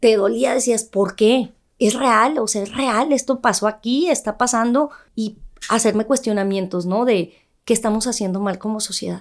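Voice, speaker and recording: Recorded very cleanly against a silent background, a woman speaks at a fairly high pitch and moderate pace with ordinary pitch variation. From northern Mexico, Ciudad Juárez. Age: 30s. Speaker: journalist and news presenter. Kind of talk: interview testimony. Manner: firm.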